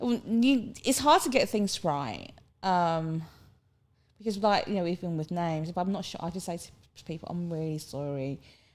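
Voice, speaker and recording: A woman with a strong Cockney accent speaks at a fairly low pitch and moderate pace, with lively intonation and big swings in loudness. The recording is very clean and the background silent. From London, England (from Hong Kong at 10). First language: Cantonese. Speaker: podcast guest. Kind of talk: casual chat. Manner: animated.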